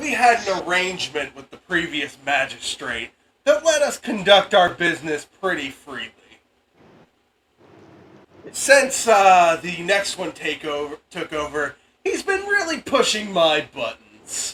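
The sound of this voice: In a put-on character voice with a slightly husky edge and fairly bright tone, the speaker goes at a fairly slow pace with big pitch swings. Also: man, high pitch for a man.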